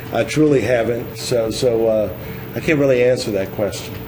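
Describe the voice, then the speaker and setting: A man talks with a New Orleans accent and fairly even intonation. Noticeable background noise and audible room echo fill the recording. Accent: New Orleans Yat. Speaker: political candidate. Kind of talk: political debate. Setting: television studio. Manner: halting, many fillers.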